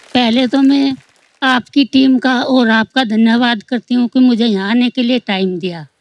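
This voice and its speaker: A woman's high voice, with ordinary pitch variation, sounds dry and close with no echo. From Haryana, Rohtak. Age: 60s. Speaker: audience member, long-distance cyclist. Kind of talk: audience testimony on TV comedy show.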